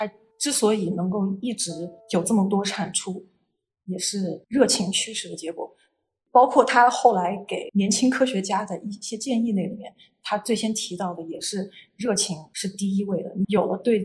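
At a moderate pace, a woman speaks in a medium, somewhat breathy voice with ordinary pitch variation and big swings in loudness. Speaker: postdoctoral researcher in population genetics. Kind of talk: casual interview explaining science.

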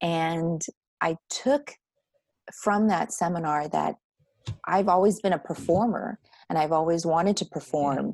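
A woman with an American accent talks at a fairly slow pace in a fairly low voice with ordinary pitch variation. Her speech has long, frequent pauses. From Texas. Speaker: actor and voiceover artist. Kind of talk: casual interview chat.

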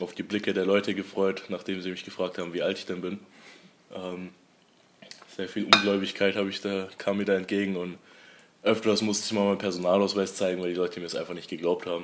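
With a very deep, low pitch and flat, monotone intonation, a man talks at a fairly quick pace broken by long, frequent pauses, with noticeable background noise behind him. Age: 20s. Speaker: young restaurant owner. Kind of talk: casual interview. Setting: in his restaurant, over a meal.

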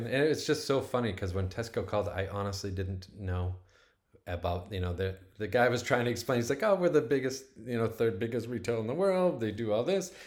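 Here is an ordinary speaking voice at a fairly quick pace. The intonation is lively. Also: man, medium pitch for a man. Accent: American. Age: 40s. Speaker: plant-based food developer. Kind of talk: interview.

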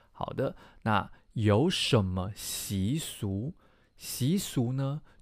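Lively in intonation and medium in pitch, a man is heard on a very clean recording with a silent background. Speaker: Chinese language teacher and podcast host. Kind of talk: language lesson.

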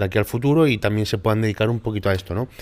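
Background silence and a very clean signal frame this clip. A man's voice sits fairly low. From Málaga, southern Spain. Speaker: podcast host, bodybuilder and content creator. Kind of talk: casual interview.

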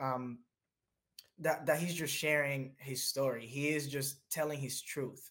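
A man with an American accent, fairly high in pitch, at a fairly slow pace. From Dominican Republic, later New Jersey. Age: 20s. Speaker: behavior analyst and mental health advocate. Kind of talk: interview, personal story. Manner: animated, laughing.

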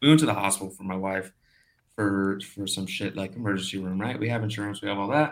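Pitch varies in an ordinary way while the words come out very fast. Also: man, fairly low pitch for a man. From Brazil. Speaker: crypto podcast guest. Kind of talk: casual chat.

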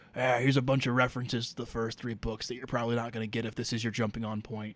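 A put-on character voice, raspy and monotone with flat intonation, rattles along at a very fast pace. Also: man, medium pitch for a man. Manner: dry, world-weary.

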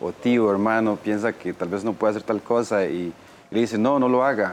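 With fairly even intonation, it is a normal speaking voice. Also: man. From southern Costa Rica, Golfito. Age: 30s. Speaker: wheelchair user, course participant. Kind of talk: TV panel discussion.

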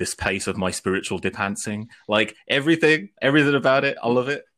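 Speaking at a fairly quick pace with ordinary pitch variation, a man with a British accent comes through on a very clean recording with a silent background. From UK. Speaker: podcast guest. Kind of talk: casual chat. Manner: animated.

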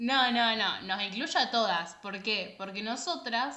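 A woman's fairly high voice at a very slow pace, with audible room echo. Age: 20s. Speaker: podcast co-host. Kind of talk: casual chat.

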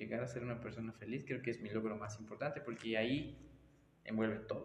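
Moving at a fairly quick pace, a man talks in a plain, everyday voice at medium pitch. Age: 20s. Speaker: taekwondo and fitness instructor. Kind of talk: casual interview. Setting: taekwondo studio.

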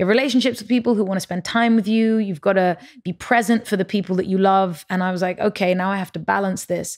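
A woman with a London accent at a very fast pace with hardly any pauses, medium pitch and fairly even intonation, on a very clean recording with a silent background. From London and Paris, Lebanese parents. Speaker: musician and tech entrepreneur. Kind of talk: casual interview chat.

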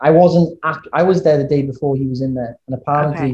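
A man with a Welsh accent speaks at a moderate pace. His tone is dark, mellow and somewhat breathy. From Wales. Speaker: podcast guest.

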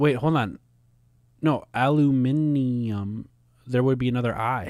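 A man with a Minnesota accent speaks fairly slowly at a medium pitch, keeping his intonation fairly even. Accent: Minnesota American. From US Midwest, Minnesota. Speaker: podcast co-host and musician. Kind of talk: casual chat.

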